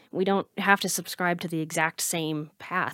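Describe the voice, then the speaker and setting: A woman's fairly low voice, a normal speaking voice with ordinary pitch variation at a moderate pace, dry and close with no echo, on a very clean recording with a silent background. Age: 30s. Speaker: podcast host and anxiety coach. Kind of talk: casual interview.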